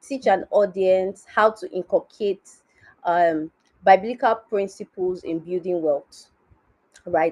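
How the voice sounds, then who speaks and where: A woman at medium pitch with a Nigerian accent and lively intonation, in a dry, close sound with no echo. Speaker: finance educator. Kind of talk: conference talk.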